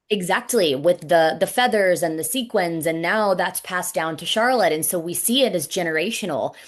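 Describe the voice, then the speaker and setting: A woman talks at a moderate pace in a plain, everyday voice, fairly low in pitch with ordinary pitch variation. She hardly pauses, and the background is quiet. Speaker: wrestling ring announcer. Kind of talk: interview answer.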